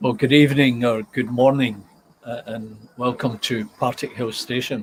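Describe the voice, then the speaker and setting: A man speaks with a Scottish accent at medium pitch. His intonation is flat and monotone, and his pace is moderate. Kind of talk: casual live stream talk to viewers.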